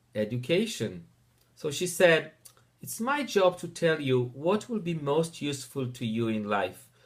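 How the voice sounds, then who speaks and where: His voice swings very widely in pitch and sounds somewhat breathy. The man talks at a fairly slow pace with a fairly high pitch. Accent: Israeli. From Israel. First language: Hebrew. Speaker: teacher. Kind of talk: personal introduction narration.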